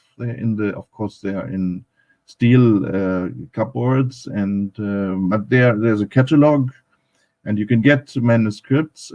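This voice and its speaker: Dark, mellow tone from a man with a German accent, medium in pitch, fairly slow, with ordinary pitch variation. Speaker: academic speaker on Pakistan. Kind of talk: panel talk at live online event. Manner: halting, many fillers.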